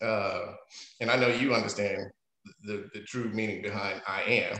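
Audible room echo around a man's voice, with a quiet background behind it. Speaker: interview guest. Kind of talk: interview answer. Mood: amused, then reflective. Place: home room. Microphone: video call.

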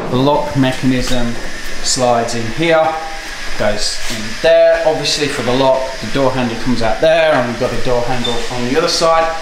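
A man speaks at a moderate pace with ordinary pitch variation, with audible room echo and noticeable background noise. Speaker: car restorer vlogger. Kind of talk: casual vlog chat. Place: workshop. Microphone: phone near.

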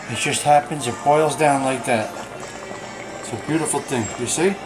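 A man is speaking. Music plays in the background. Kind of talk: casual cooking tutorial. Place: kitchen. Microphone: phone near.

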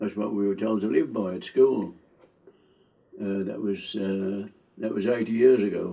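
Speaking at a moderate pace with long, frequent pauses, a man uses a fairly low pitch, a dark, mellow tone and fairly even intonation. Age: 80s+. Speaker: war veteran; retired engineer. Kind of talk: interview answer. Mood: reflective, calm.

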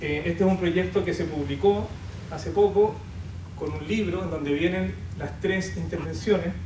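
A fairly high male voice with very wide pitch swings at a fairly slow pace, over noticeable background noise. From Chile. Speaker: poet and artist; poet. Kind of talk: panel presentation. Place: hall.

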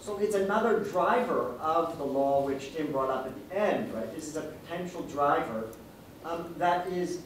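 Audible room echo and light background noise surround a man speaking at a high pitch. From Singapore. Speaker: law professor, paper discussant. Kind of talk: conference discussion. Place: meeting room.

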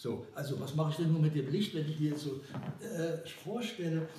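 A man talks in a room with audible echo and light background noise. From Germany. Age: 80s+. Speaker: cinematographer. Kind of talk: interview answer. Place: home room.

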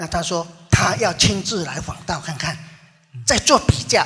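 In a raised, projected voice, a man speaks at a fairly slow pace over noticeable background noise. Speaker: religious follower. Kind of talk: testimony.

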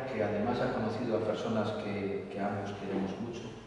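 A man speaks with strong room echo. Light background noise is present. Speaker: presenter. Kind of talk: formal presentation speech. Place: hall.

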